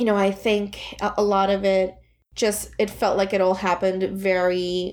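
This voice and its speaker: Fairly even intonation in a Puerto Rican accent. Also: woman. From Puerto Rico. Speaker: therapist. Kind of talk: podcast interview.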